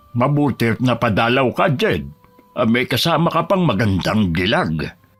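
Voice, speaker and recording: Over faint music in the background, a man uses a put-on character voice at medium pitch and moderate pace. His pitch swings very widely while his loudness stays very even. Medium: audio drama. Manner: calm, knowing, gently teasing.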